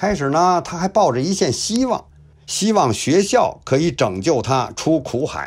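In a very clean recording with a silent background, a man speaks at a fairly slow pace with very wide pitch swings. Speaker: YouTube history storyteller. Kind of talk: storytelling narration. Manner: lively, colloquial storyteller style.

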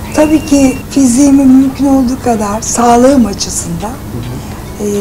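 Over noticeable background noise, a high-pitched woman speaks at a moderate pace with fairly even intonation. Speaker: actress. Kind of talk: interview answer. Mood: relaxed, chatty. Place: home room.

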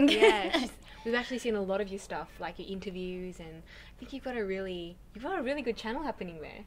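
A woman with an Australian accent talks at a very fast pace with lively intonation and big swings in loudness over light background noise. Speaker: singer. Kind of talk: interview answer. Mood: cheerful, chatty. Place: home room.

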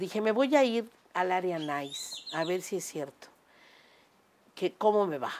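Light background noise sits behind a woman speaking at a fairly slow pace. Her intonation is lively, broken by long, frequent pauses. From Mexico, Cuernavaca (Morelos); Mexico. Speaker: restaurant owner and amateur singer; interviewee. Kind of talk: casual interview conversation. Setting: home terrace. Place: home room.

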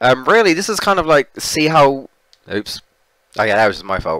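A man with a British accent talks at a fairly quick pace and a fairly high pitch, with very wide pitch swings. The sound is dry and close with no echo. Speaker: gaming streamer. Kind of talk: live gameplay stream chat. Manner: casual, repetitive stammering.

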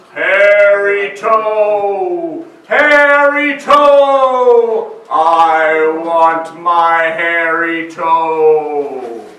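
A man puts on a high-pitched character voice. He goes at a very slow pace, with a slight echo around him. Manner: eerie, wailing.

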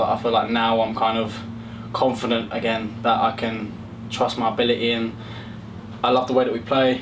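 A man talks at a very fast pace in a flat monotone. Noticeable background noise runs under his voice. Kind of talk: interview answer. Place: hall.

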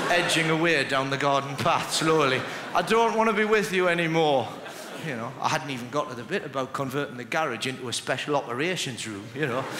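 Noticeable noise sits in the background while a man speaks at a fairly quick pace. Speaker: stand-up comedian. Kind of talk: stand-up comedy routine. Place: stage. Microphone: headset.

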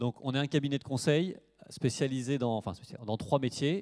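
This man talks at a fairly quick pace with a dark, mellow tone and ordinary pitch variation. The background is quiet. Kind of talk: lecture.

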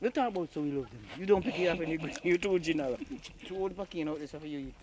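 The speaker talks at a very fast pace with a Jamaican accent. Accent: Jamaican Patwa. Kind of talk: casual conversation.

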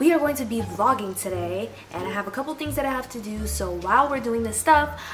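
Talking at a very fast pace, a woman shows big swings in loudness while faint music plays in the background. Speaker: vlogger. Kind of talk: casual vlog chat. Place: home room.

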